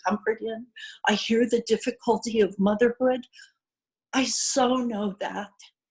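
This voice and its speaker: Her voice is fairly high and somewhat breathy. The woman keeps a moderate pace and fairly even intonation. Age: 60s. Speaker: participant in online women's circle, retired educator. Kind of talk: personal sharing in group video call.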